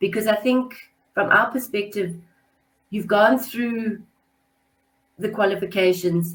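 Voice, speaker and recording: A woman with a medium pitch speaks at a fairly slow pace, somewhat breathy. Her intonation stays fairly even, broken by long, frequent pauses. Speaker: webinar host for a business school. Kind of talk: webinar presentation. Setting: online webinar.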